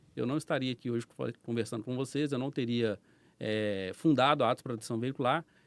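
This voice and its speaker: Fairly quick male speech with a slight mineiro accent, dry and close with no echo, on a very clean recording with a silent background. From Brazil, Minas Gerais (Belo Horizonte). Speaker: business owner, former police officer. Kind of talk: podcast interview storytelling. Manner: casual.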